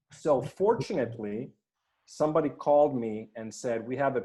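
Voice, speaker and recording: The speaker is a man with a Swedish accent. His tone is dark and mellow. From Finland, Swedish-speaking. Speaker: performance coach. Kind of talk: podcast interview.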